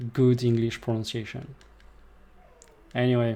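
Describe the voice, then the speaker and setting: Speaking with a French accent, a man has a dark, mellow tone at medium pitch. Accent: French accent noticeable in English. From France. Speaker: gaming streamer. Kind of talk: live gameplay commentary. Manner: casual, with hesitations.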